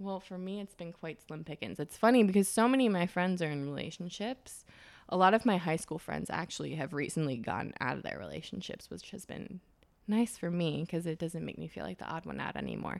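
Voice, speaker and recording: A woman with an American accent, fairly low-pitched and with vocal fry, at a fairly quick pace on a very clean recording with a silent background. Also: big swings in loudness. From US Midwest (Wisconsin). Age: 20s. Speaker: fashion stylist. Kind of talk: casual interview.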